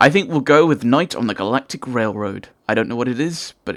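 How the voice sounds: The text is read in a natural reading voice.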